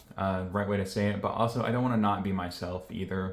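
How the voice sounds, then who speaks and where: A man's fairly low voice at a very fast pace, monotone and flat in intonation, with audible room echo. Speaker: YouTuber vlogger. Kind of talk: casual vlog talk to camera. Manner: low-energy, reserved.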